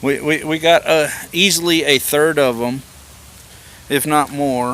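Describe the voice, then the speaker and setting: Speaking with a Southern US accent at a very slow pace, the voice stays monotone and flat. Noticeable background noise is present. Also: man. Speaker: homesteading vlogger. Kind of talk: casual garden tour vlog. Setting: outdoors.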